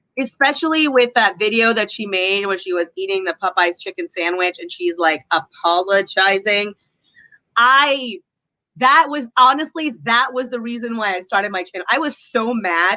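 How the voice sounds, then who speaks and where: Bright, sharp and animated, a woman's medium-pitched voice rises and falls with lively intonation at a moderate pace. The sound is dry and close, with no echo. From USA. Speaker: YouTuber, commentary channel guest. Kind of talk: casual chat. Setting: livestream video call.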